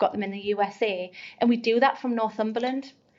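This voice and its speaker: The speaker talks at a fairly quick pace in a Geordie accent. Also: woman. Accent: Geordie, never changed. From North East England (Geordie). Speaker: recruitment agency founder. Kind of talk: podcast interview.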